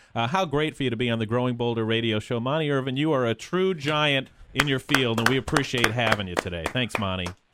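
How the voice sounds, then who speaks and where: Very fast and with hardly any pauses, a man speaks at a medium pitch with ordinary pitch variation over noticeable background noise. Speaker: radio host. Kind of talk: radio interview, casual chat.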